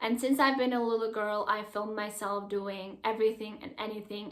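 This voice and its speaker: This woman speaks with a Czech accent at a fairly quick pace. Her pitch is fairly high. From Czech Republic. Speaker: YouTuber. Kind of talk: vlog talking to camera. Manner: animated.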